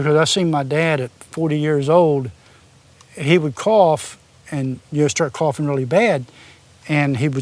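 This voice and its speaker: In an Appalachian accent, a man with a fairly high voice speaks at a fairly slow pace. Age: 60s. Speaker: former machinist and welder. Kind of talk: interview, personal storytelling.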